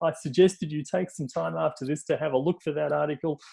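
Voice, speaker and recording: The voice has a dark, mellow tone and comes with an Australian accent. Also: man. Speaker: tech industry executive. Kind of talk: webinar panel presentation. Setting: online webinar. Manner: hesitant, many fillers.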